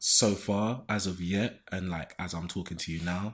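A man with a London accent speaks at a very deep, low pitch, at a fairly slow pace and with fairly even intonation. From London (Shoreditch). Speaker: video editor. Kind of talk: casual chat. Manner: halting.

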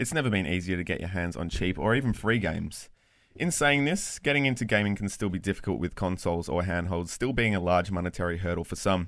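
A man speaks at a very fast pace in a very deep, low voice. His intonation is lively, and the recording is very clean with a silent background. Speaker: podcast co-host. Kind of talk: casual chat.

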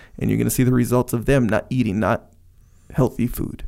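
Very fast and mid-pitched, a man speaks in a dark, mellow tone with vocal fry. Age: 40s. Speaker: podcast co-host. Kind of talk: casual chat.

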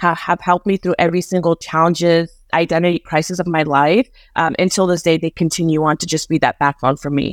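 The woman speaks at a fairly quick pace in a plain, everyday voice, fairly low in pitch with fairly even intonation. The very clean recording has a silent background and a dry, close sound with no echo. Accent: American. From Afghanistan, raised in the US. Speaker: HR professional. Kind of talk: interview conversation.

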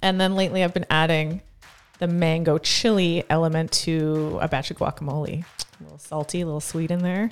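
A woman with an ordinary speaking voice talks at a fairly quick pace, her fairly low pitch held in fairly even intonation while her loudness swings widely. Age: 30s. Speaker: gym owner and podcast co-host. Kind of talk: casual chat.

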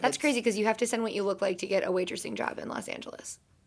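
This is a put-on character voice, raspy in texture. It races along at a very fast pace. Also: woman, medium pitch for a woman. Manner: bitter, vitriolic.

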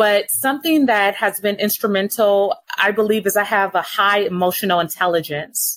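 A woman with an American accent talks at a moderate pace and medium pitch, with ordinary pitch variation and very even loudness. It is an unremarkable speaking voice with hardly any pauses. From Los Angeles. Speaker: communications and marketing executive. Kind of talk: interview.

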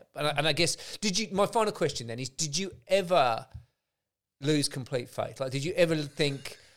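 In an English accent, a man speaks at a moderate pace with a fairly high pitch and lively intonation. The recording is very clean, with a silent background. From England. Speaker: podcast host. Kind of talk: casual interview chat.

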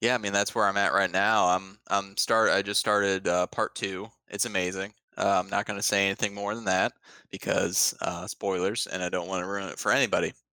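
Recorded very cleanly with a silent background, a man with a Midwestern American accent talks at a fairly quick pace in a fairly low pitch, with a bright, sharp tone and monotone, flat intonation. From Ohio. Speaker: podcast co-host. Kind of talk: casual chat. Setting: home basement.

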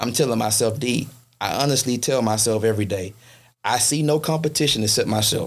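An unremarkable speaking voice with an American accent moves at a fairly quick pace with ordinary pitch variation and very even loudness. The recording is very clean, with a silent background. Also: man, medium pitch for a man. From US South, Shreveport, Louisiana. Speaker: fraternity executive. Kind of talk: casual interview.

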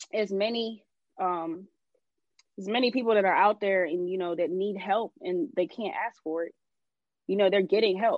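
A woman talks at a moderate pace and medium pitch with ordinary pitch variation. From US South, Atlanta. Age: 20s. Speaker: investor and entrepreneur. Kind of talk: casual chat. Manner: casual, uses everyday slang.

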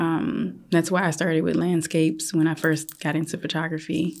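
With a fairly low pitch and some vocal fry, a woman speaks at a moderate pace. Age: 40s. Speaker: photographer. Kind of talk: casual interview.

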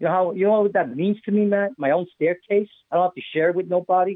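The pace here is fairly quick. It is delivered with an American accent. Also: man. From New York. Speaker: online show host. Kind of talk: casual chat.

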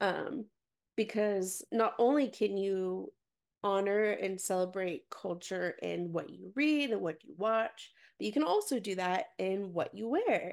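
A woman with an ordinary speaking voice talks at a fairly slow pace in a medium pitch, with ordinary pitch variation and big swings in loudness, on a very clean recording with a silent background. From Texas, Dallas suburbs. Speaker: nonprofit worker and mother. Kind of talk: casual interview chat.

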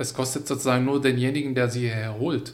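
A man speaks with an Arabic accent at a medium pitch and ordinary pitch variation. Audible room echo surrounds his voice. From Syria, Hama. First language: Arabic (speaking German). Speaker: migrant advisory council member. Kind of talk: interview. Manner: animated.

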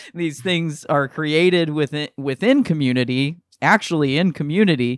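A man speaks with a Northeast Ohio accent. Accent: Northeastern Ohio, general American. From Akron, Ohio. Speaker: podcast co-host and comedian. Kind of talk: casual chat.

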